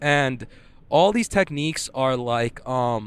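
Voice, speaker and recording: Pitch moves in an ordinary way here. It is a plain, everyday voice. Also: man. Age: 20s. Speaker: jiu-jitsu competitor. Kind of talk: casual solo monologue. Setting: in a car. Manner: casual, filler-heavy.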